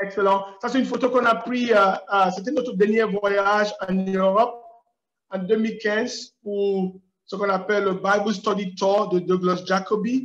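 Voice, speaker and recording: This man speaks at a high pitch and a fairly slow pace. His intonation is monotone and flat. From Cameroon. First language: English (speaking French). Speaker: preacher. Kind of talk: lecture. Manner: halting. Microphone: unstable internet connection.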